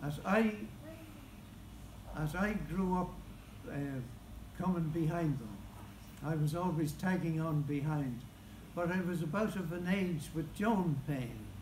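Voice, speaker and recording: In audible room echo, a speaker with an Irish accent goes at a fairly slow pace with long, frequent pauses and ordinary pitch variation. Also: man, fairly high pitch for a man. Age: 80s+. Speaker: local historian. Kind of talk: speech at book launch.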